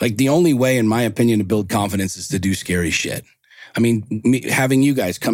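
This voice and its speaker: In a plain, everyday voice, a man talks at a medium pitch, varying it in an ordinary way. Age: 40s. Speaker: entrepreneur and motivational coach. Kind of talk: casual chat.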